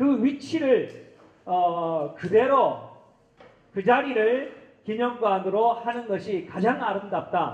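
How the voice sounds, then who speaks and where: Delivered very slowly, this voice carries lively intonation. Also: man. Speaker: event organizer. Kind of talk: formal address at a forum. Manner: halting with fillers.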